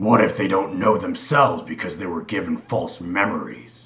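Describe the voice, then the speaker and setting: A man puts on a growling character voice, moving at a moderate pace with big swings in loudness. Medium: read story.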